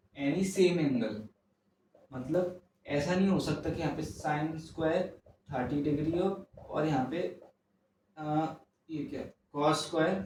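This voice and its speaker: A man speaks in a fairly high voice, with audible room echo around him. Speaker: maths teacher. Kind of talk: lecture. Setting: home recording at night. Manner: soft-spoken.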